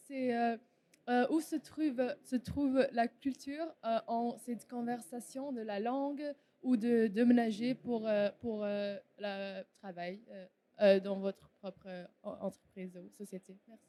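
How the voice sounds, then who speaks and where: A woman with an English accent, a fairly high pitch and a dark, mellow tone, speaking very slowly with ordinary pitch variation and big swings in loudness. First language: English (speaking French). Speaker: audience member. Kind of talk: audience question. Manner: halting, many stumbles.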